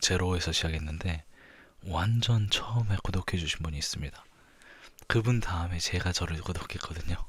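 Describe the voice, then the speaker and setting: A man's somewhat breathy, very deep, low voice at a moderate pace, with ordinary pitch variation. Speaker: ASMR creator. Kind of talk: ASMR talk. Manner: soft-spoken.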